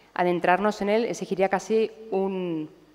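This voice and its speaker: This woman's voice sits at a medium pitch. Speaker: psychiatrist lecturer. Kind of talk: lecture. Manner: fast.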